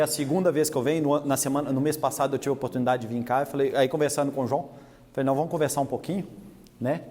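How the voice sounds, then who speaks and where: A fairly high-pitched man with a Minas Gerais accent at a very fast pace. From Minas Gerais, Brazil. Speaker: animal scientist and industry technical manager. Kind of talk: lecture. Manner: talkative.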